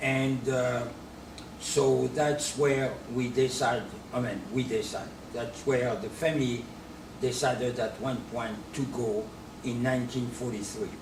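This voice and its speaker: A man at medium pitch talks at a fairly slow pace with fairly even intonation, with audible room echo and noticeable background noise. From France, Normandy. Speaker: businessman and D-Day memorial supporter. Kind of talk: interview.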